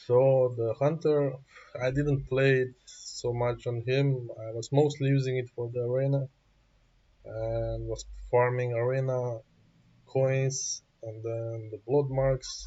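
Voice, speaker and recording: Speaking very slowly with a non-native accent, a man uses a medium pitch, a somewhat breathy sound and monotone, flat intonation. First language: not English. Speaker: gaming YouTuber. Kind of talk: gameplay tutorial. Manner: halting.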